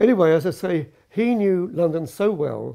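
There is little sound behind the speaker. A man talks with creaky vocal fry. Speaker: storyteller recalling his past. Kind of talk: interview answer. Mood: amused, reminiscing. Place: home room.

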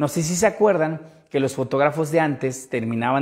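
Over a quiet background, a man talks at a moderate pace. His voice is fairly high, with ordinary pitch variation. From Veracruz, Mexico. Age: 30s. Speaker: photographer and photography instructor; photography instructor. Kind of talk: livestream tutorial. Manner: casual, conversational. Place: home room. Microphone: lapel.

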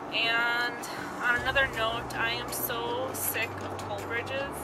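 A woman at a fairly slow pace, dry sound with no echo, music in the background. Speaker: vlogger on a road trip. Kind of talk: casual vlog chat. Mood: mildly annoyed, chatty. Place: car. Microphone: phone near.

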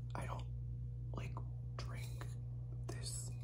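Loud background noise runs under this recording. A man speaks at a very slow pace. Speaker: ASMR vlogger. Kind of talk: ASMR bottle tapping, casual talk to camera. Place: home room. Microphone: phone near.

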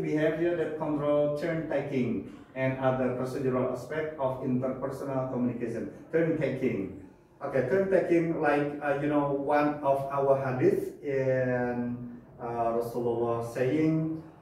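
Strong room echo around a man at a moderate pace, with ordinary pitch variation and light background noise. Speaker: lecturer. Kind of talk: lecture. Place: classroom. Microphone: camera far.

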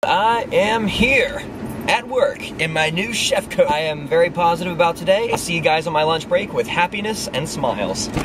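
A man talks at a moderate pace. Noticeable background noise is present. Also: dry sound with no echo. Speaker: vlogger. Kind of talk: casual vlog chat, some singing.

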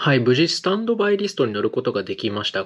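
A man talks at a very fast pace. His pitch swings very widely. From Japan. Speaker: travel vlogger. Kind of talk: vlog narration. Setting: hotel room. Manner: polite formal. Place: home room.

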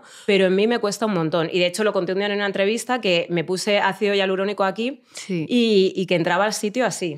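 With hardly any pauses, a woman talks at a very fast pace at medium pitch, her loudness very even and her intonation fairly even, over a quiet background. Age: 40s. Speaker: journalist and activist; journalist. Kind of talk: casual chat. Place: studio. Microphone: studio mic.

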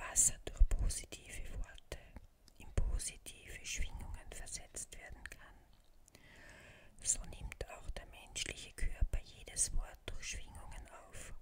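The speaker whispers very slowly, with long, frequent pauses. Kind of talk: ASMR affirmations for sleep. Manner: soft-spoken.

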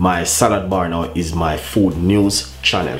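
A man's very deep, low voice with fairly even intonation over light background noise. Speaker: cooking channel host. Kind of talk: casual vlog chat. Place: kitchen. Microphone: camera far.

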